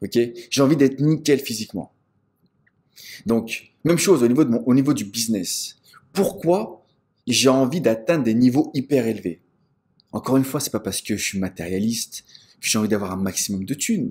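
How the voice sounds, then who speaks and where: Pausing long and often, a man speaks at a moderate pace and medium pitch with lively intonation. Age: 40s. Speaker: business coach. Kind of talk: motivational talk. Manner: animated.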